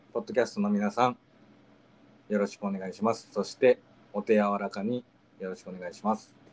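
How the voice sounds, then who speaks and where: A man's fairly low voice at a fairly quick pace, flat and monotone, with big swings in loudness and long, frequent pauses. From Okayama, Japan. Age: 20s. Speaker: podcast host. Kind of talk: casual chat podcast. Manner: friendly, chatty, playful.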